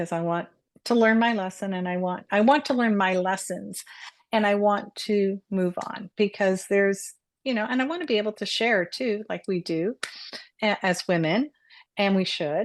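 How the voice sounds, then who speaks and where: At a moderate pace, a woman talks in a normal speaking voice with a medium pitch. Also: ordinary pitch variation. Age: 60s. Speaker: co-host and Reiki master. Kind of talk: casual chat.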